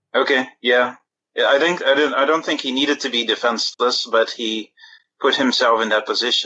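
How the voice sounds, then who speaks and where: With an unremarkable speaking voice, a man talks at a fairly quick pace and medium pitch, keeping his intonation fairly even. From outside US, immigrant. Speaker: caller. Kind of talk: casual chat. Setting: phone call.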